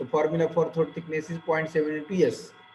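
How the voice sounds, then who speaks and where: Over noticeable background noise, a man with a fairly high pitch talks at a moderate pace. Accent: Marathi. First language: Marathi. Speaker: engineering lecturer. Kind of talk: lecture.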